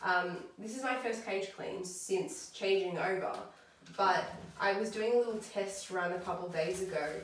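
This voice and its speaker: A woman with an Australian accent speaks at a fairly slow pace in a medium pitch with ordinary pitch variation, with audible room echo and noticeable background noise. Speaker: pet vlogger. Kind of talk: casual vlog tutorial. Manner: loud.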